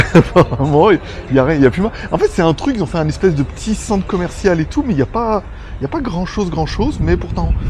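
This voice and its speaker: Noticeable background noise runs under the recording. A man speaks at a very fast pace. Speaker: travel vlogger. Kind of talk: casual vlog. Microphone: volume raised by 3 dB, was too quiet.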